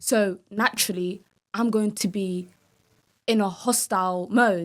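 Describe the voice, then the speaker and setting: A woman with a London accent speaks at a medium pitch and a fairly slow pace, her intonation fairly even. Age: 20s. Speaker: reality TV contestant. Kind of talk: interview.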